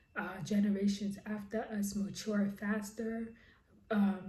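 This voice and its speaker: In a room with audible echo, a woman speaks at medium pitch with monotone, flat intonation. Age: 40s. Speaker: lifestyle and crochet vlogger. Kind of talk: personal vlog monologue.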